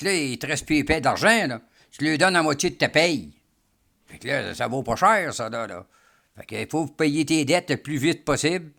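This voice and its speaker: A man speaks in a Quebec accent, his pitch fairly high and his tone bright and sharp, with vocal fry. The recording is very clean, with a silent background. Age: 70s. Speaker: retiree. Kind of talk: casual interview. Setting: at his home.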